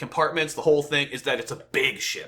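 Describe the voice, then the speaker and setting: Very fast and with a bright, sharp tone, a man rattles off his words. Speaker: gaming youtuber reacting to a developer stream. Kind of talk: reaction commentary. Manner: loud, yelling; animated, stammering repeats.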